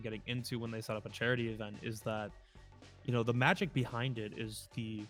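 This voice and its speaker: Over music in the background, a man with an American accent talks at a very fast pace in a medium pitch. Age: 20s. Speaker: volunteer esports caster and college esports head coach. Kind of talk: interview answer. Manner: fast-talking, upbeat, hype.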